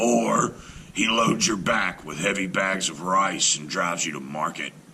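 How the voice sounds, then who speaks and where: Over clear background noise, a man growls in a put-on character voice, very deep and low in pitch, at a moderate pace. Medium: read story. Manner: courteous, sly.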